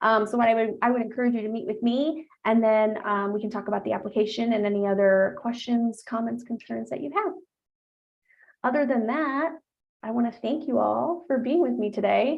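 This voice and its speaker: Her pace runs fairly quick. The woman's voice is fairly high in pitch. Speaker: study abroad advisor. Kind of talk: webinar presentation. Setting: live-streamed webinar. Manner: fast; animated.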